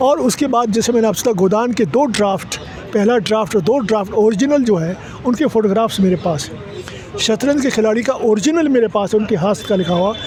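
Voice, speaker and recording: Over noticeable background noise, a man speaks at a high pitch and moderate pace with ordinary pitch variation. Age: 80s+. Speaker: literary scholar and author. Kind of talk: interview. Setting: literature festival.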